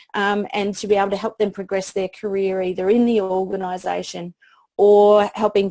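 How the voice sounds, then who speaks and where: Speaking with an Australian accent, a woman keeps a medium pitch and a monotone, flat intonation. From Australia, country town. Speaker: PR expert. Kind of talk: interview. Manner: halting.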